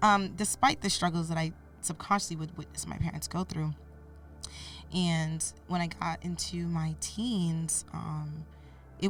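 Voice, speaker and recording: A woman talks fairly slowly while music plays in the background. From US (moved from Cameroon via Canada at age 8). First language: French. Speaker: podcast guest, mentor. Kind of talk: interview, personal life story.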